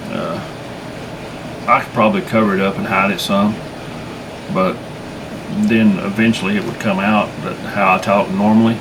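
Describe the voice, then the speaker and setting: A man with a Southern US accent speaks in a fairly low, monotone, flat voice with long, frequent pauses, amid audible room echo and noticeable background noise. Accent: southern drawl. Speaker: bigfoot researcher and channel host. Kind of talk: casual monologue. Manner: halting.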